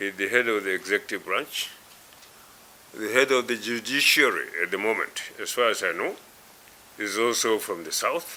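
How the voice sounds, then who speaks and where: Against noticeable background noise, a man with a northern Nigerian accent talks at a fairly slow pace, his medium pitch showing ordinary variation. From northwest Nigeria. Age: 80s+. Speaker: elder statesman. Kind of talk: interview. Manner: halting, many fillers.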